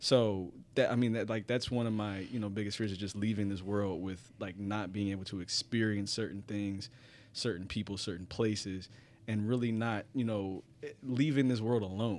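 Fairly low and fairly even in intonation, a man speaks at a moderate pace in an ordinary speaking voice on a very clean recording with a silent background. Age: 30s. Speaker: podcast guest. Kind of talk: casual chat.

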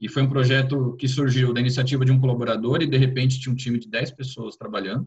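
Talking at a very fast pace with hardly any pauses, a somewhat breathy man keeps a monotone, flat intonation. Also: medium pitch for a man. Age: 40s. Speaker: HR executive at a fintech. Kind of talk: interview conversation.

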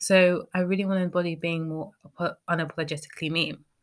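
Recorded very cleanly against a silent background, a woman with a British accent speaks at a fairly low pitch with a bright, sharp tone. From Britain. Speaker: podcast host. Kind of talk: solo podcast monologue.

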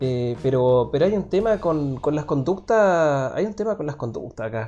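A man talks with a Chilean accent and lively intonation. The background is quiet. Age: 30s. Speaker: podcast host. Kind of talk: casual chat.

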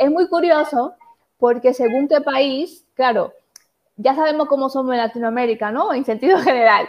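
A woman talks in a high pitch, with ordinary pitch variation. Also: moderate pace. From Dominican Republic, Puerto Plata. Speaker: lawyer and webinar host. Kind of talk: online panel interview.

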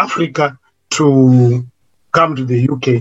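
A man is speaking. Music plays in the background. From Zimbabwe. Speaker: social worker. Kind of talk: interview.

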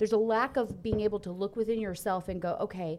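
A woman speaks at a medium pitch with a Texan accent. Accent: Texan twang. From Texas. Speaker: co-host. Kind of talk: casual chat. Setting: studio.

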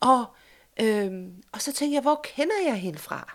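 A woman speaks with a high pitch and very wide swings in it. The recording is very clean, with a silent background. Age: 50s. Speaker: podcast host, journalist and social worker. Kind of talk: casual chat. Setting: home sofa used as studio.

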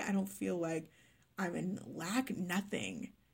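A somewhat breathy woman with an American accent, medium pitch, lively intonation and a moderate pace. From Texas, Dallas. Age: 20s. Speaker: life coach. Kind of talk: personal storytelling monologue.

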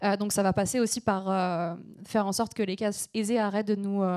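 On a very clean recording with a silent background, a woman speaks at medium pitch with a dark, mellow tone and monotone, flat intonation. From southern France, between Aix and Marseille. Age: 20s. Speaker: environmental journalist and activist. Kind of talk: panel discussion on stage. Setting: stage with audience.

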